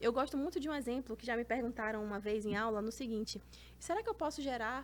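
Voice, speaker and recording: The voice has vocal fry and ordinary pitch variation. Its pace is very fast. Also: woman. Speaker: podcast host and AI instructor. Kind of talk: educational podcast chat.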